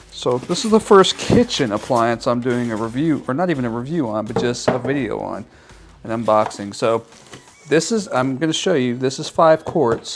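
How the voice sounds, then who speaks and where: A man's medium-pitched voice with an American accent and ordinary pitch variation, music in the background. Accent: Texas accent, stronger when speaking slowly. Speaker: YouTuber reviewing products. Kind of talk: unboxing video. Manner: casual, chatty.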